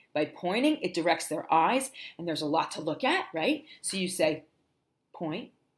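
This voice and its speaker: Speaking in an American accent, a woman has a fairly low pitch. Her tone is animated, with very wide pitch swings. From New Jersey. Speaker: teacher and livestreamer. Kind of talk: livestream teaching tutorial. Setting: livestream. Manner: animated, drawn-out phonics sounds.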